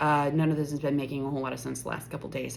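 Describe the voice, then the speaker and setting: Audible room echo surrounds a woman whose very deep, low voice stays monotone and flat. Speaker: spiritual content creator. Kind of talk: casual vlog monologue. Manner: slurred, stumbling.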